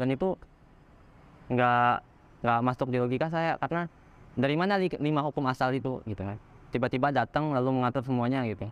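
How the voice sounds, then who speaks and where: The speaker talks at a very fast pace with ordinary pitch variation but leaves long, frequent pauses. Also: man, medium pitch for a man. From Bangka Belitung, Indonesia, Chinese-Indonesian. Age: 20s. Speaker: religious convert. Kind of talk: testimony interview. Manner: casual with hesitations and self-corrections.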